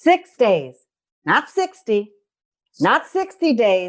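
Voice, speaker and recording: The speaker has a New York accent. The delivery has an animated tone. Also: woman. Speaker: nurse, kidney stone diet educator. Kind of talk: podcast chat, health advice. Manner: animated, conversational.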